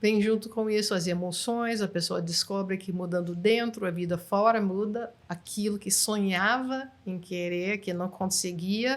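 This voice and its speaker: Her pitch is medium and her intonation fairly even. This woman talks at a fairly slow pace. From United States. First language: English (speaking Portuguese). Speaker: NLP trainer. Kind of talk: interview.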